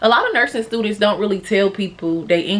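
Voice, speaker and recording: A woman speaks at a moderate pace in a medium pitch with ordinary pitch variation. Noticeable background noise can be heard. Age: 20s. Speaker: vlogger, new nursing graduate. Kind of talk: casual vlog talk to camera.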